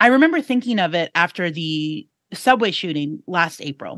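A woman speaks at a medium pitch with lively intonation, in a plain, everyday voice. The sound is dry and close with no echo, over a quiet background. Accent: American. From New York City. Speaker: podcast co-host, reporter. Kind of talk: casual chat. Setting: studio.

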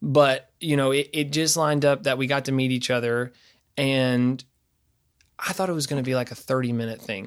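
A man with an East Tennessee accent talks at a fairly quick pace in a medium pitch. His intonation is fairly even, and the recording is very clean with a silent background. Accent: Southern US (East Tennessee). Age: 20s. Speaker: singer-songwriter and bass player. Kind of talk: casual interview chat.

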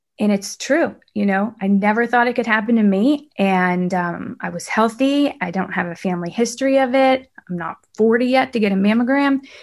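Against a quiet background, a woman with an unremarkable speaking voice talks at a moderate pace, her fairly high pitch showing ordinary pitch variation. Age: 30s. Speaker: TV news reporter and cancer patient. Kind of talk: interview conversation.

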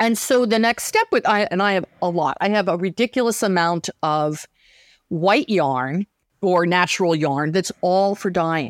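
An ordinary speaking voice moves at a fairly slow pace with lively intonation. The recording is very clean, with a silent background. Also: woman, medium pitch for a woman, dry, close sound with no echo. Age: 60s. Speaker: weaver and sewing teacher. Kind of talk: interview.

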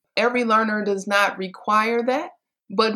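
In an American accent, a woman speaks at a moderate pace with an animated tone. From US Midwest (Detroit, Michigan). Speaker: golf instructor. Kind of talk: interview conversation.

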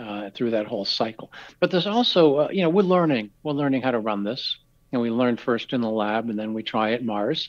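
Talking at a fairly quick pace, a man with a normal speaking voice uses medium pitch and lively intonation. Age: 60s. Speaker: research scientist. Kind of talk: interview.

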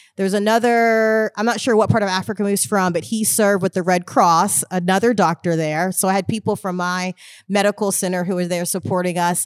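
An unremarkable speaking voice with an American accent, at a fairly quick pace with hardly any pauses and fairly even intonation, dry and close with no echo, on a very clean recording with a silent background. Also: woman, medium pitch for a woman. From Houston, Texas. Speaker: ministry co-leader. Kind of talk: casual chat.

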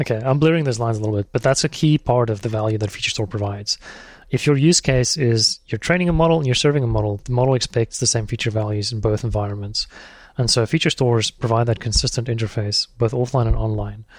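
In a very clean recording with a silent background and a dry, close sound with no echo, a man talks at a very fast pace in a somewhat breathy voice of medium pitch with ordinary pitch variation. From South Africa. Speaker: software engineer, open-source project creator. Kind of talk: interview.

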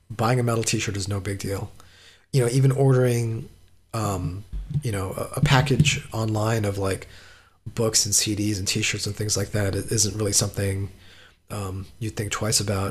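Fairly low in pitch, a man speaks in a somewhat breathy voice with fairly even intonation. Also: moderate pace. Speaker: metal podcaster and journalist. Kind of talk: interview.

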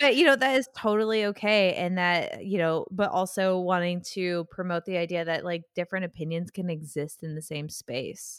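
Using an ordinary speaking voice, a woman talks at a moderate pace and medium pitch with ordinary pitch variation and hardly any pauses. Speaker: podcast co-host. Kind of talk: casual chat. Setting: remote recording. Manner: chatty, laughs often.

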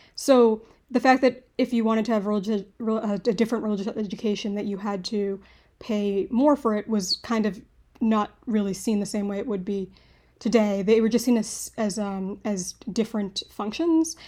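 A woman speaks with a fairly high pitch and a dark, mellow tone. The recording is very clean, with a silent background. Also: ordinary pitch variation, moderate pace. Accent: American. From US Northeast, Boston. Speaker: historian. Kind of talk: interview. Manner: halting, many fillers and restarts.

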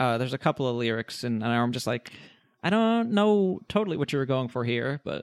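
A man talks at a fairly quick pace and medium pitch with lively intonation, in a plain, everyday voice. The sound is dry and close with no echo, on a very clean recording with a silent background. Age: 20s. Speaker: podcast guest, pop punk fan. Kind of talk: casual chat.

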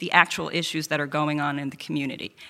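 A woman talks with an American accent. Her tone is bright and sharp. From Queens, New York. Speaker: lawyer, district attorney candidate. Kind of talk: candidate debate. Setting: event hall with audience.

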